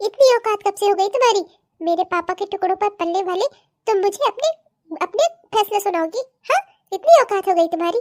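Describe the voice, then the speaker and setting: A woman puts on a character voice with extremely high pitch, ordinary pitch variation and a fairly quick pace broken by long, frequent pauses, recorded dry and close with no echo. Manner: shouting, furious, contemptuous.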